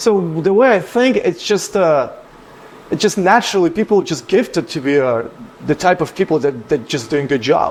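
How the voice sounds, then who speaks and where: A man speaks at a high pitch, his voice swinging very widely up and down. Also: moderate pace. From Ukraine. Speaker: business owner. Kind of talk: casual chat.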